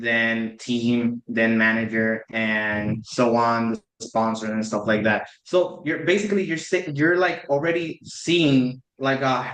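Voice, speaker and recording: This man has a Spanish accent and a medium pitch with ordinary variation. He talks at a fairly slow pace. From Puerto Rico. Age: 20s. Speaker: PhD student and esports competitor. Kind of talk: podcast interview. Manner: halting, many fillers.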